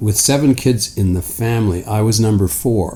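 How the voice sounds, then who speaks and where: With a Canadian accent, a man speaks in a somewhat breathy voice, dark and mellow in tone. His intonation is lively. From Canada (rural Ontario, near Hamilton). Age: 70s. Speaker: interview guest, world traveller. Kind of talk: casual chat.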